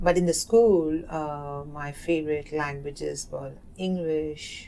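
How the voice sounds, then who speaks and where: A woman speaks with an Indian accent. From South Asia. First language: Hindi. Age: 30s. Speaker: oral history narrator. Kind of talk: interview. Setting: community center. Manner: halting.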